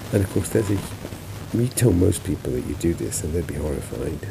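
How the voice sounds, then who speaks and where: A man's mumbling amid noticeable background noise. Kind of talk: travel and health vlog narration. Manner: mumbling, groggy.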